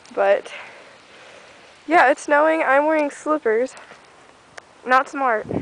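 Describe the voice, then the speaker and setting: A woman speaks fairly slowly with fairly even intonation against noticeable background noise. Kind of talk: casual talk to camera.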